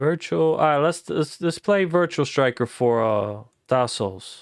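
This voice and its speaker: A man with a plain, everyday voice talks at a fairly slow pace, fairly high in pitch and lively in intonation, on a very clean recording with a silent background. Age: 30s. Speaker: gaming streamer. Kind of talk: live gameplay stream, casual chat with viewers. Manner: casual, loose.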